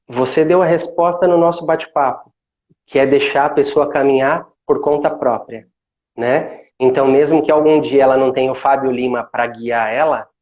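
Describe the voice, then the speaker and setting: In a calm tone, a man with a fairly high pitch talks at a moderate pace. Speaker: meditation instructor. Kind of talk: casual chat.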